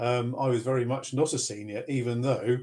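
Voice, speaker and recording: A man talks in a somewhat breathy voice with monotone, flat intonation. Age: 70s. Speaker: retired finance worker and rugby coach. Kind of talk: interview. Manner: hesitant with many fillers.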